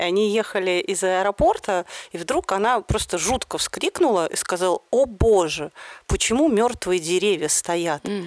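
Speaking at a fairly slow pace and a medium pitch, a woman uses ordinary pitch variation in a dry, close sound with no echo. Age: 40s. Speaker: podcast host. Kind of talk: casual chat.

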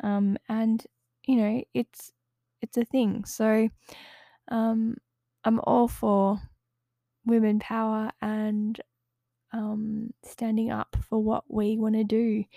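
In a very clean recording with a silent background and a dry, close sound with no echo, a woman speaks very slowly with long, frequent pauses, her fairly high, dark, mellow voice held in a monotone, flat intonation. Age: 30s. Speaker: podcast host. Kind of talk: solo monologue podcast. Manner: hesitant with many fillers; laughs often.

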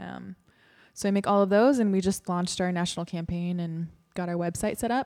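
On a very clean recording with a silent background, a normal speaking voice talks fairly quickly, and its pitch varies in an ordinary way. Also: woman, fairly low pitch for a woman. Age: 20s. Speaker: podcast host. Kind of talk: casual chat.

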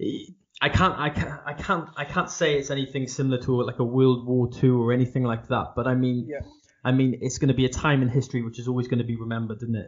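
Speaking at a very fast pace, a man has a medium pitch, a somewhat breathy voice and fairly even intonation. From South Wales. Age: 20s. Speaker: podcast host and barber. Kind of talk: interview conversation. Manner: halting.

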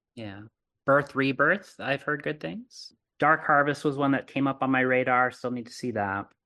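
A man with an American accent speaks at a moderate pace in a medium pitch, with a bright, sharp tone and ordinary pitch variation. The background is quiet. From Arizona, US. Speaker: horror podcast host. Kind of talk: casual chat.

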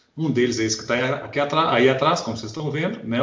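A man's fairly high voice at a fairly quick pace, ordinary pitch variation, with audible room echo. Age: 40s. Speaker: podcast co-host, lawyer. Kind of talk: casual chat.

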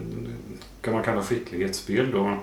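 Through noticeable background noise and audible room echo, a man speaks at a fairly slow pace. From Värmland, Sweden (Kristinehamn). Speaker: university researcher on gambling. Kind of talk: interview.

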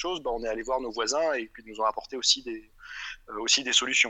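This man's voice sits at a medium pitch with ordinary pitch variation. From France, Grenoble region. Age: 30s. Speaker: entrepreneur, electronics engineer. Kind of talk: interview. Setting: outdoors in the fields. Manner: halting, many repetitions and fillers.

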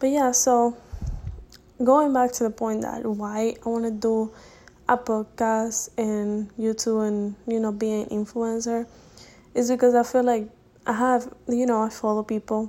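In a Spanish accent, a woman with a fairly high pitch and a dark, mellow tone speaks at a fairly slow pace with monotone, flat intonation. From Dominican Republic. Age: young. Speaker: college student podcaster. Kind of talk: casual monologue. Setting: home recording at night. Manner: halting.

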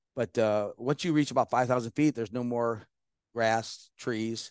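A man's unremarkable speaking voice at medium pitch, dry and close with no echo, over a quiet background. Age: 50s. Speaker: war veteran. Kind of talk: casual chat.

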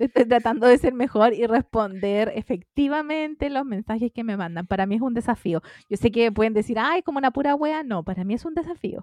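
A woman with a Chilean accent speaks at a fairly quick pace with hardly any pauses, her fairly high pitch carrying lively intonation in a dry, close sound with no echo. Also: quiet background. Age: 30s. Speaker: podcast co-host. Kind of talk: casual chat.

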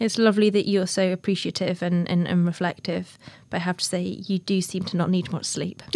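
Speaking at a fairly quick pace, a woman with a northern English accent keeps a medium pitch and a monotone, flat intonation. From northern England. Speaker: podcast host. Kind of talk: interview.

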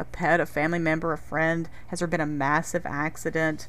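A woman with an American accent and an unremarkable speaking voice talks at a fairly low pitch and a moderate pace. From North Carolina. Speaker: podcast host. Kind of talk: podcast interview and scripted segments.

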